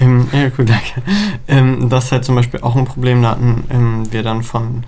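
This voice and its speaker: Here a man speaks at a moderate pace and medium pitch. He has an ordinary speaking voice. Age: young. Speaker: student council chair. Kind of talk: casual interview.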